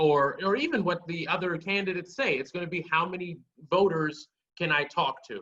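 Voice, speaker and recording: A man with an American accent talks at a moderate pace in a high pitch. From Maryland, Prince George's County. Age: 20s. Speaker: political activist and candidate. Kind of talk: podcast interview. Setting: video call.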